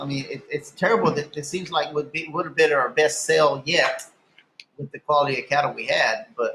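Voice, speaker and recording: A man's unremarkable speaking voice, fairly high-pitched, at a moderate pace with ordinary pitch variation. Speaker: longhorn cattle breeder and sale host. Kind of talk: casual interview answer.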